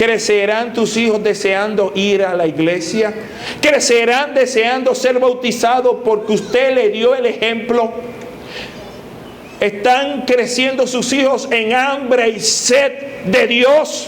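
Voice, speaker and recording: Noticeable background noise and audible room echo surround a man speaking very slowly at an extremely high pitch, with fairly even intonation and very even loudness. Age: 60s. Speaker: pastor. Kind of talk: sermon.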